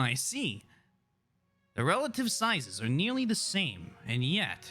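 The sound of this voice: Putting on a nasal character voice, a man speaks at a fairly slow pace and a fairly high pitch with very wide pitch swings, faint music playing in the background.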